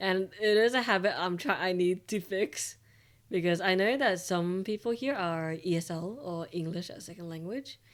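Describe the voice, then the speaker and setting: A woman with an Australian accent, fairly low in pitch, at a fairly slow pace, on a very clean recording with a silent background. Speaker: VTuber streamer. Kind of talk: casual chat.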